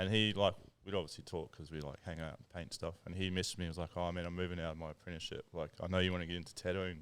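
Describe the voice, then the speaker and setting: Speaking very fast with hardly any pauses, a man with a New Zealand accent uses a very deep, low pitch and flat, monotone intonation. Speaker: tattoo artist and lure-making business co-founder. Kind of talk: casual podcast chat. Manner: quiet.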